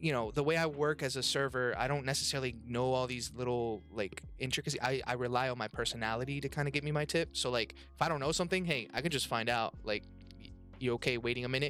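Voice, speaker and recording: With music in the background, a man talks at a very fast pace, his medium-pitched voice showing ordinary pitch variation. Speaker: podcast co-host and restaurant server. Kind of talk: casual chat with live audience. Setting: podcast recording with live audience. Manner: animated, outgoing.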